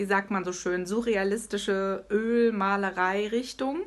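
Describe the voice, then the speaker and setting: Speaking very slowly, a woman uses a medium pitch. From Hesse, Germany. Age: 40s. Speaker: artist and author. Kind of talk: interview. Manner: animated.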